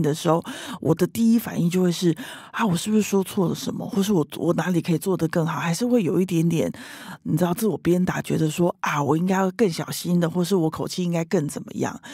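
A woman talks at a very fast pace. Her fairly low voice has a dark, mellow tone. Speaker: leadership coach. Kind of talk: interview. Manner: loud.

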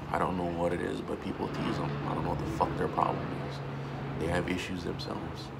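Loud background noise sits under a man talking at a fairly quick pace. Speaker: vlogger and army veteran. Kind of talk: personal video monologue. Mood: earnest, emotional, reflective. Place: home room. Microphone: phone near.

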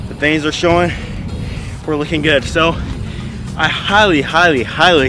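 A man talks at a fairly quick pace with fairly even intonation. The sound is dry with no echo, and music plays clearly in the background. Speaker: fitness vlogger. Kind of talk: casual workout tutorial chat. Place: stadium.

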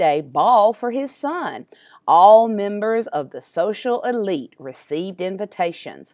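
Text read out naturally

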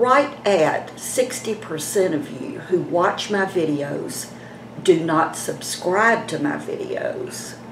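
Noticeable background noise accompanies a woman speaking at a very slow pace. Her pitch swings very widely. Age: 70s. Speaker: beauty vlogger. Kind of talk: casual vlog talk to camera. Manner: chatty. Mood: chatty, gently persuasive. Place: home room. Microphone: phone near.

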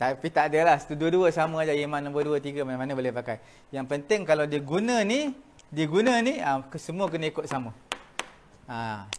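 A man's fairly high-pitched, normal speaking voice, with lively intonation at a moderate pace. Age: 60s. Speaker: religious teacher. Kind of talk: lecture. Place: classroom.

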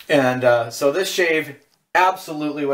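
This is a man speaking with an American accent. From Southern California. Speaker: shaving video creator. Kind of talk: tutorial. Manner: casual. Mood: relaxed, calm. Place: bathroom. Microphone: camera far.

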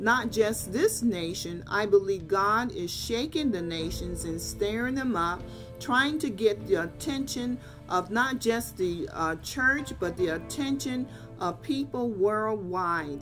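Clear music plays in the background while the speaker talks at a very slow pace. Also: woman. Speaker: lay preacher. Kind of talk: sermon. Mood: earnest, exhorting. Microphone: webcam.

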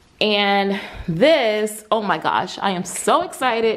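A woman's voice with ordinary pitch variation over light background noise. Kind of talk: casual vlog chat. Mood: excited, happy. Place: garage. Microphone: phone near.

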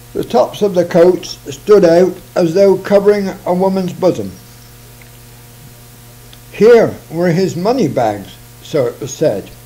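A man speaks slowly in a high pitch, with long, frequent pauses. His tone is dark and mellow, and his intonation is lively.

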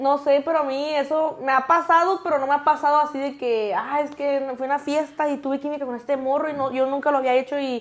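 Hardly any pauses break this woman's fairly quick speech. Her pitch is high, her intonation fairly even. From Mexico. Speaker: social media content creator. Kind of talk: casual chat. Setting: studio. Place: studio. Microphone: lapel.

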